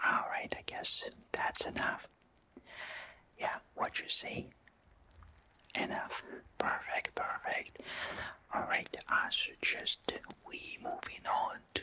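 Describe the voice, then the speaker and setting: Whispering and soft-spoken, a man talks with long, frequent pauses over light background noise. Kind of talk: soft spoken roleplay. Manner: soft whispered personal-attention talk. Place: home room.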